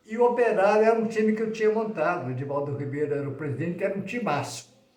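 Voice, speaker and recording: Talking at a very fast pace, a man uses a high voice with lively intonation. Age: 70s. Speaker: retired sports journalist. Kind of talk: casual interview.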